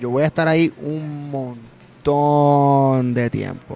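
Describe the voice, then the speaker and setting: An unremarkable speaking voice belongs to this man, who talks in a fairly high pitch with ordinary pitch variation. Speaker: comedian and actor. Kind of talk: casual chat. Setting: restaurant.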